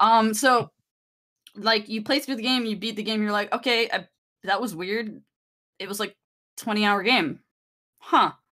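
A woman with a fairly high pitch and a bright, sharp tone speaks with long, frequent pauses in a very clean recording with a silent background. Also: ordinary pitch variation, moderate pace. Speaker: podcast co-host. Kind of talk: casual chat.

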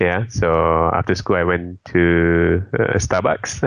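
A man talks in a very deep, low pitch. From Malaysia (Petaling Jaya area). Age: 30s. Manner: hesitant, many fillers.

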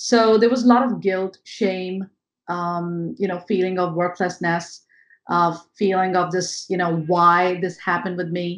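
In an Indian accent, a woman speaks at medium pitch and a fairly slow pace. Her intonation is fairly even, and the background is quiet. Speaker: mindset coach. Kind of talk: interview.

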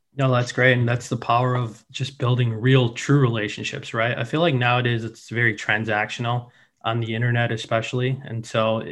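Speaking at a moderate pace with a Midwestern accent, a man talks at a medium pitch with fairly even intonation. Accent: American, Midwest. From Chicago, US. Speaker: podcast host. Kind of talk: interview.

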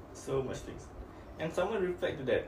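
This man speaks in a Malaysian accent with lively intonation. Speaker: podcast host. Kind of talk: casual chat.

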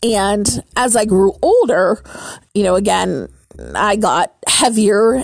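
The woman's voice sits at a medium pitch with ordinary pitch variation. Noticeable background noise runs behind her. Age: 40s. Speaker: podcast host and burlesque performer. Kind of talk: personal monologue. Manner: hesitant, with many fillers.

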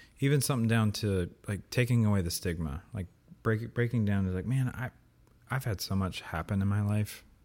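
A man speaks with an American accent at a fairly quick pace and a fairly low pitch, in an unremarkable speaking voice. The recording is very clean, with a silent background. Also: ordinary pitch variation. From US. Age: 30s. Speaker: old friend of the host. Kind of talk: casual chat. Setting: in person recording.

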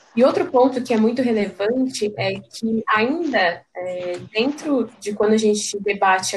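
Somewhat breathy and fairly high-pitched, a woman speaks at a fairly slow pace with lively intonation. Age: 20s. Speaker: reproductive rights activist. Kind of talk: casual chat.

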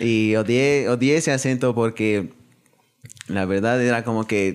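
This is a man speaking. His voice sits at medium pitch. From Ecuador. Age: young. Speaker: university student. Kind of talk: casual chat.

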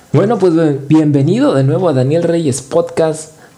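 A man's voice over noticeable background noise. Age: 30s. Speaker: podcast host. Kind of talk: motivational monologue. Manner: halting.

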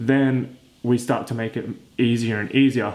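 A man speaks with a medium pitch. He has an ordinary speaking voice. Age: 20s. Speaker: fitness podcast host. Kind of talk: solo podcast monologue. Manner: casual, conversational.

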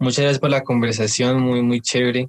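In a dry, close sound with no echo, a man talks at a medium pitch with monotone, flat intonation. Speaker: podcast host. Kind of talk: interview.

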